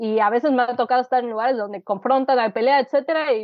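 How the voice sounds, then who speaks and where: A woman talks in an unremarkable speaking voice, fairly high in pitch, with ordinary pitch variation. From Mexico City. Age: 30s. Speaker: writer. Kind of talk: casual interview.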